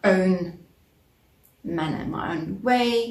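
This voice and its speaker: A somewhat breathy woman's voice at medium pitch in a South African accent, with ordinary pitch variation and audible room echo. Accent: South African Afrikaans-accented English. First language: Afrikaans. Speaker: crochet vlogger. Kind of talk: casual vlog chat. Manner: halting, many fillers.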